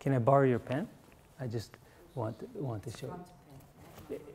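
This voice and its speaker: With light background noise, a somewhat breathy man speaks at a fairly slow pace. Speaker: acupuncture teacher. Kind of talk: workshop lecture. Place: classroom.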